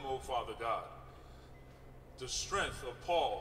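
A man speaks at a moderate pace with ordinary pitch variation, with light background noise and audible room echo. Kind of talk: prayer. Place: waterside. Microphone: podium.

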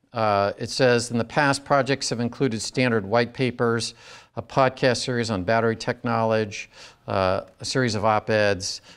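A man speaks at a moderate pace with fairly even intonation. The background is quiet. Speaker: university lecturer. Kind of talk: lecture. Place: classroom. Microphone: lapel.

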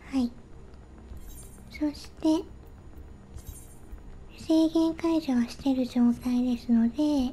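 Against music in the background, a woman speaks at high pitch with fairly even intonation. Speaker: solo game streamer. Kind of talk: casual game commentary.

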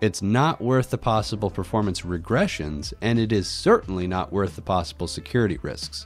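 Over background music, a man's words come at a fairly brisk rate. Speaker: tech hobbyist YouTuber. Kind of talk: tech tutorial voice-over. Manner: casual.

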